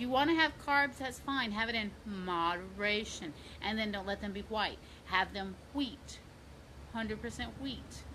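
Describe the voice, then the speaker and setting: There is audible room echo around a woman's voice. She talks at a moderate pace with ordinary pitch variation. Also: medium pitch for a woman. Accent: American. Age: 50s. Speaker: fitness coach. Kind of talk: casual vlog tips. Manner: animated.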